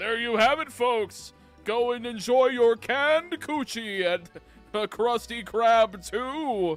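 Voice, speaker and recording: A man's put-on character voice at an extremely high pitch, fairly slow in pace, with faint music in the background. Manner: excited, over-the-top announcer.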